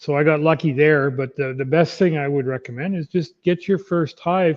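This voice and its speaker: A man talks in a plain, everyday voice, pitched fairly high and paced moderately. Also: ordinary pitch variation. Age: 50s. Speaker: beekeeper. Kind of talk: casual chat. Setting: live stream.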